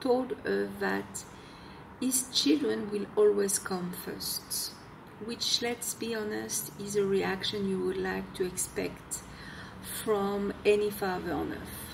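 A woman with a French accent speaks at a very slow pace. Noticeable background noise can be heard. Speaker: self-help video blogger. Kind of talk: talking-head advice video. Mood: earnest, explanatory. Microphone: phone near.

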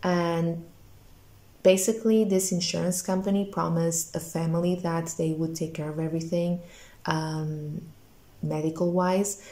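At a moderate pace and with long, frequent pauses, a woman speaks in a fairly low, somewhat breathy, dark and mellow voice with monotone, flat intonation. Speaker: booktuber vlogger. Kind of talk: casual vlog talk to camera. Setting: at home. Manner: quiet, hushed at night. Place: home room. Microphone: phone near.

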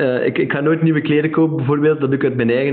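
A man talks at a very fast pace with a fairly high pitch. His intonation is fairly even over a quiet background. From Flanders, Belgium. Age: 20s. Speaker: entrepreneur; podcast guest. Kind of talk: interview. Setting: remote recording. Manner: hesitant, many fillers. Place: home room.

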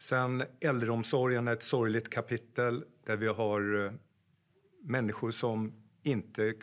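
A man's ordinary speaking voice, medium in pitch, at a fairly slow pace with fairly even intonation, over a quiet background. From Sweden, Gästrikland (Sandviken); Gästrikland, Sweden. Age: 50s. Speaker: police officer and political candidate; candidate. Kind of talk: campaign pitch. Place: studio.

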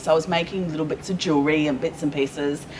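Talking very fast, a woman with an Australian accent uses a very deep, low pitch over light background noise. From Perth, Western Australia; Western Australia. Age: 40s. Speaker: small business owner; guest. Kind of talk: casual interview. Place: hall.

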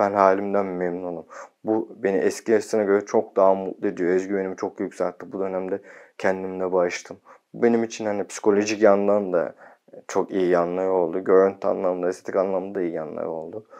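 A man speaks at a fairly quick pace in a very deep, low voice. His intonation is monotone and flat, over a quiet background. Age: 30s. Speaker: video blogger. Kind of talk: casual vlog talk. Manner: sometimes fast. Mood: calm, content. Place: home room. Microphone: lapel.

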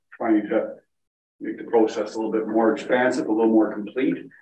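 A man's fairly low voice, with audible room echo and light background noise. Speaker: municipal finance official. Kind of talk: council meeting report. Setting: council chambers, also on Zoom. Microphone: video call.

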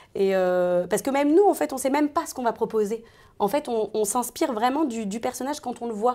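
Lively intonation and a fairly quick pace carry this woman's high voice. The recording is very clean, with a silent background. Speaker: voice actor (dubbing). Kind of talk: interview chat. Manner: hesitant, many fillers.

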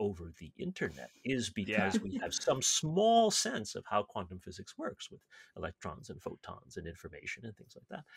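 A moderate pace with big swings in loudness, a dry sound with no echo, and a quiet background. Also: man. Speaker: podcast host. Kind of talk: casual podcast explanation. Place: home room. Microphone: webcam.

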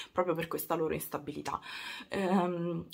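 The speaker is a woman. Her pitch is fairly low. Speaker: beauty YouTuber. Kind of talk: casual beauty product review to camera.

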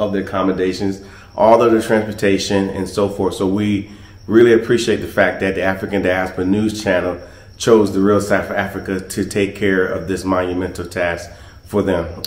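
With audible room echo around him, a man talks at a moderate pace in monotone, flat intonation. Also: fairly low pitch for a man. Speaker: travel company host. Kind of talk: casual vlog chat. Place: home room. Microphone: phone near.

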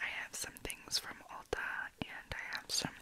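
A woman whispers at a fairly slow pace. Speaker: beauty and ASMR YouTuber. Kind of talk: casual talk to camera, makeup haul. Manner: soft, whispery, casual. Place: home room. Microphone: studio mic.

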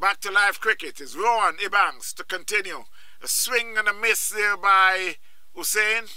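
A man's high, relaxed, warm voice, fairly slow, with fairly even intonation. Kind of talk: live cricket commentary. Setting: outdoors at cricket ground, live broadcast. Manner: relaxed, friendly, warm sign-off tone.

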